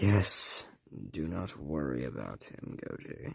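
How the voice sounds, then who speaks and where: A man's put-on character voice, raspy and very deep, at a fairly slow pace. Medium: machinima. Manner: formal, measured.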